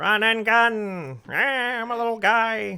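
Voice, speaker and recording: Someone uses a put-on character voice at a fairly high pitch, speaking at a very slow pace. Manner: deranged.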